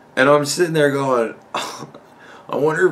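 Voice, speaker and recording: A man talks at a moderate pace. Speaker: podcast host. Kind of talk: casual vlog chat. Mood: amused storytelling. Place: home room.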